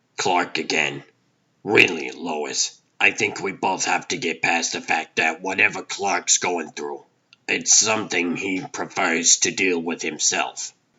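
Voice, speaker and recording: A raspy, very deep, low-pitched put-on character voice from a man at a fairly slow pace. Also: ordinary pitch variation. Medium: fan dub. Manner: warm, wry.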